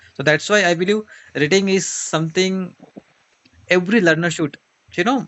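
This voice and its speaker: The speech moves at a fairly quick pace but breaks into long, frequent pauses. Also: man. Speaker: online English teacher. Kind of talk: casual conversation interview.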